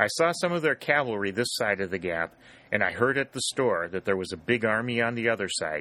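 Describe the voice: Lively intonation during plain reading aloud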